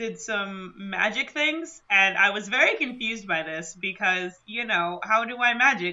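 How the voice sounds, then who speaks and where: The woman's pitch sits at a medium level. She talks at a fairly slow pace. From Michigan. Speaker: tabletop role-play podcast player. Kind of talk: actual-play game chat. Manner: animated.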